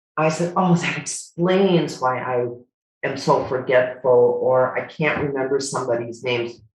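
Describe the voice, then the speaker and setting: With an American accent, a woman speaks at a moderate pace in a very deep, low pitch with ordinary variation, and audible room echo surrounds her. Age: 70s. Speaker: retired nurse. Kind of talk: casual chat. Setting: video call.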